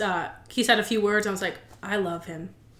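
A woman's very fast, fairly high-pitched speech amid noticeable background noise. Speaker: guest. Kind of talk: casual chat. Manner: jokey, interrupts a lot.

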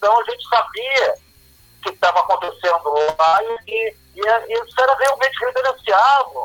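A man with an extremely high pitch and a bright, sharp tone speaks at a moderate pace with lively intonation. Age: 60s. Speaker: rock musician. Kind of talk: interview.

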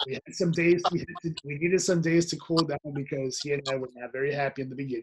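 The voice is somewhat breathy and very fast, with fairly even intonation and hardly any pauses. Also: man, fairly high pitch for a man. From Nicaragua. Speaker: podcast co-host. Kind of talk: serious casual discussion.

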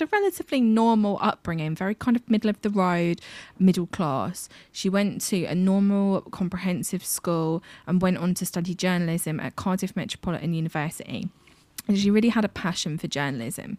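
In a British accent, a woman speaks at a fairly quick pace. Her pitch is medium, and her intonation is lively. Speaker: podcast co-host. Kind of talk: storytelling.

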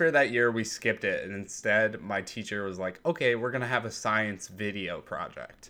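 A man's bright, sharp tone moves with lively intonation on a very clean recording with a silent background. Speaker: storyteller about past friendship. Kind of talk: casual chat, personal storytelling.

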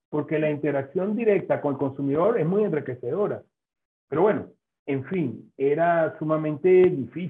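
Here is a man with a normal speaking voice and fairly high pitch. He talks at a moderate pace with ordinary pitch variation. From Venezuela. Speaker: food science professor. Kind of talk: interview.

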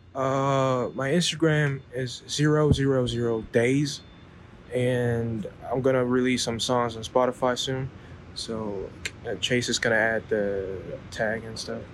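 Delivered at a very slow pace with fairly even intonation, the speech comes over noticeable background noise. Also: man, medium pitch for a man. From South Korea. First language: Korean. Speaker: underground hip-hop artist. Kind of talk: casual interview. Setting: in person. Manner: halting.

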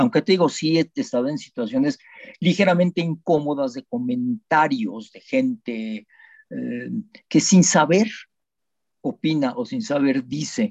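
With a Mexican accent, a man talks at a fairly slow pace in a high, dark and mellow voice that has very wide pitch swings, recorded dry and close with no echo. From Mexico. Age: 70s. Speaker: dentist, son of Holocaust survivor. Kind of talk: testimony.

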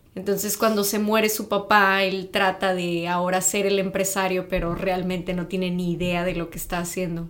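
A woman talks at a moderate pace with hardly any pauses, her intonation monotone and flat. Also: medium pitch for a woman. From Mexico, Tamaulipas (north). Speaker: podcast co-guest, native Spanish speaker. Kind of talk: casual chat.

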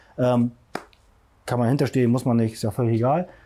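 This voice has a dark, mellow tone and moves at a very fast pace. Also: man. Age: 40s. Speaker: CrossFit masters athlete and personal trainer. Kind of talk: casual interview. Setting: outdoors in a garden.

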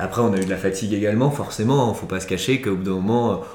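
Against noticeable background noise and audible room echo, a man speaks at a fairly low pitch. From France, Chambéry (Savoie). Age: 20s. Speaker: sports adventure agency founder. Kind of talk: interview. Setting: recorded at a guest's home. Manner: halting, many repetitions and fillers.

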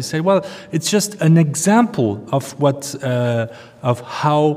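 Noticeable background noise sits behind a man speaking at a fairly slow pace with a French accent. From France. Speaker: museum curator. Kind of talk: interview. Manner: halting, many fillers.

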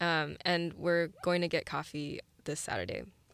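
A woman with an American accent, fairly low in pitch, fairly even in intonation and fairly slow in pace, on a very clean recording with a silent background. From Saint Louis, Missouri, US Midwest. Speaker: student startup founder. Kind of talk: interview.

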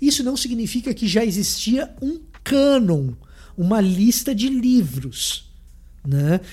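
With audible room echo, a man speaks very slowly at a high pitch with very wide pitch swings. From Salvador, Bahia, Brazil. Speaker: theologian. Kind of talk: lecture.

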